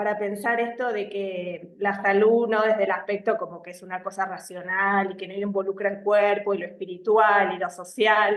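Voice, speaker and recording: A woman speaks with an Argentine accent. Her pace is fairly slow. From Argentina. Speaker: psychologist. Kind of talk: live video interview. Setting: live stream. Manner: hesitant, many fillers.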